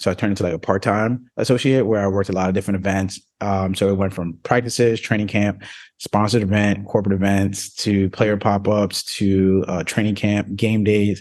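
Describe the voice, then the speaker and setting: Against a quiet background, a man with an American accent talks fairly quickly at a fairly low pitch, his intonation monotone and flat. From New Jersey. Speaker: sports agent and athlete mentor. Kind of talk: casual interview.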